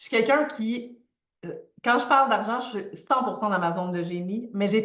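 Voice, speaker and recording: A woman talks in an animated tone at a fairly high pitch, with ordinary pitch variation. Audible room echo surrounds her voice. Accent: Quebec. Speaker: financial coach. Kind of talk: live online masterclass. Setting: livestream video.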